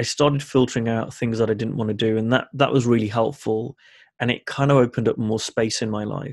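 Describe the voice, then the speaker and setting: This man has an unremarkable speaking voice, pitched in the medium range. He talks at a fairly quick pace with fairly even intonation. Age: 30s. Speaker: life coach. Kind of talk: casual chat.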